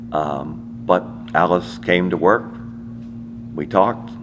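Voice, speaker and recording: A man with an American accent, noticeable background noise behind him. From US, Washington DC. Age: 80s+. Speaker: interviewee sharing family history. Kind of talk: personal testimony. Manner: halting with repetitions.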